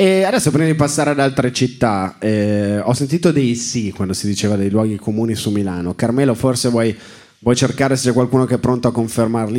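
A man speaks at a medium pitch and a fairly quick pace. His tone is dark and mellow, with lively intonation. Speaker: comedian and podcast host. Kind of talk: live comedic podcast banter. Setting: stage with live audience.

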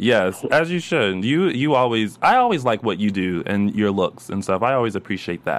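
In a very clean recording with a silent background, a man of medium pitch talks at a moderate pace with lively intonation. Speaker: after-show host. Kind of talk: casual chat. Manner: animated.

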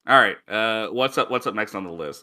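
A man talks at a fairly quick pace. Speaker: podcast co-host. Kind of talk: casual banter, comedic chat. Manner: casual, filler-heavy, joking.

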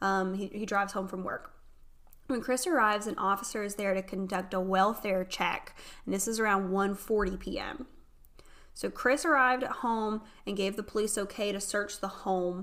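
A woman with a Southern US accent, medium-pitched, at a moderate pace. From North Carolina. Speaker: podcast host. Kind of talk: casual chat. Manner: animated.

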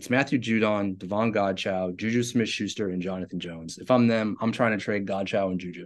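A man with a plain, everyday voice, fairly low in pitch, at a fairly quick pace with hardly any pauses, over a quiet background. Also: fairly even intonation. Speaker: sports podcast host. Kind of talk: casual sports analysis chat.

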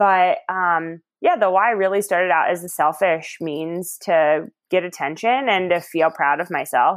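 A woman with an American accent and a plain, everyday voice speaks at a fairly low pitch and moderate pace, with ordinary pitch variation. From Ohio. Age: 30s. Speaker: runner. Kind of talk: casual interview.

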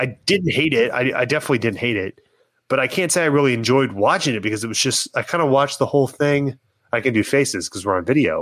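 This man talks at a very fast pace with lively intonation and a medium pitch. The recording is very clean, with a silent background. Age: 30s. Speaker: podcast guest. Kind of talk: casual chat.

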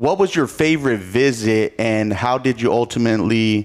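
An ordinary speaking voice from a man at medium pitch, with an American accent and a fairly quick pace, on a very clean recording with a silent background. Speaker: podcast host. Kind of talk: interview-style podcast hosting.

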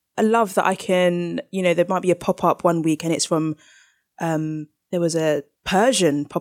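The recording is very clean, with a silent background and a dry, close sound with no echo. A woman with a fairly low pitch talks at a moderate pace with fairly even intonation. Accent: London. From South London. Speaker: baker and cookbook author. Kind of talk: interview.

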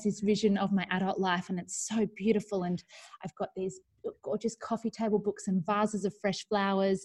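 A woman speaks with an Australian accent. Her voice is fairly high and somewhat breathy. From New South Wales far north coast, Australia. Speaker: primary school teacher and online community founder. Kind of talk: casual interview. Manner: animated.

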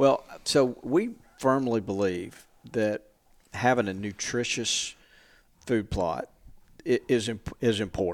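Speaking with an Alabama accent at medium pitch, a man goes at a very slow pace with long, frequent pauses and ordinary pitch variation, captured in a very clean recording over a silent background. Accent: Southern US (Alabama). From Alabama, Montgomery. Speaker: hunting industry marketing executive. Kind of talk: casual interview chat. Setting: small room at a convention.

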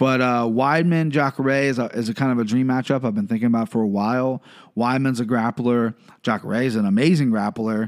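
A man talks at a fairly quick pace in an animated tone, his pitch medium with ordinary variation. The recording is very clean, with a silent background. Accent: Midwestern US. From Ohio, US. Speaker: MMA podcast host. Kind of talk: solo podcast commentary. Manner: fast.

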